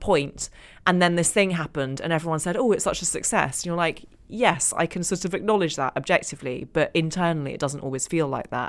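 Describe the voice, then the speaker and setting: A plain, everyday voice from a woman at fairly low pitch, with ordinary pitch variation, a fairly quick pace, and a very clean recording with a silent background. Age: 40s. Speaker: author and journalist. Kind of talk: casual chat.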